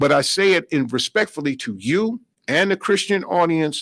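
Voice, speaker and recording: In a normal speaking voice, a man with an American accent talks at a fairly high pitch, with lively intonation and a moderate pace. The very clean recording has a silent background and a dry, close sound with no echo. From New York. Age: 60s. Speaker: minister. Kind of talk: radio interview.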